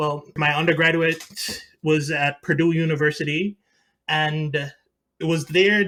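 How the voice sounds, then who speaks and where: A man with a Jamaican accent, fairly high-pitched, bright and sharp in tone, at a moderate pace with fairly even intonation, on a very clean recording with a silent background. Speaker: mechanical engineer. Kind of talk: interview. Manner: halting.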